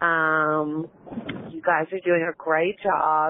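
Speaking very slowly in a Southern US accent, a woman keeps a fairly low pitch and a monotone, flat intonation. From Alabama. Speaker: caller. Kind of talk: voicemail message.

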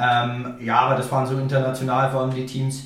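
A man with a Franconian accent talks at a fairly quick pace in a medium pitch, with noticeable background noise and audible room echo. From Franconia, northern Bavaria. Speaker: football player. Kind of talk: interview. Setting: home recording room.

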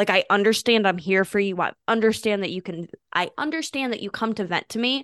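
A speaker with an American accent talks at a fairly quick pace with ordinary pitch variation, the sound dry and close with no echo over a quiet background. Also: woman, medium pitch for a woman. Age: 20s. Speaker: podcast host. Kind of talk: casual chat. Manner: loud talker.

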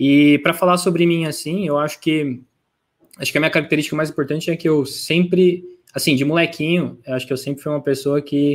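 The recording is very clean, with a silent background. A man with an unremarkable speaking voice and fairly high pitch talks at a fairly quick pace with fairly even intonation. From Brazil, interior of São Paulo state (Franca). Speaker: product manager. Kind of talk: casual interview.

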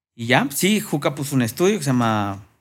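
The speaker uses lively intonation at a moderate pace. The recording is very clean, with a silent background. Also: man. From Mexico. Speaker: rapper and music producer. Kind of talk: casual interview chat.

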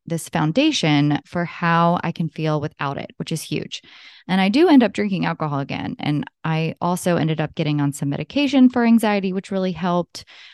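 A woman with a normal speaking voice talks at a fairly low pitch with lively intonation. The sound is dry and close with no echo, over a quiet background. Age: 30s. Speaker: podcast host and health coach. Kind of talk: solo personal monologue.

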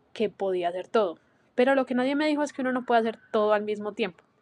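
A woman with a fairly high pitch is heard in a dry, close sound with no echo. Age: 20s. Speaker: podcast host; university student. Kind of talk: solo monologue. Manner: casual, hesitant with fillers.

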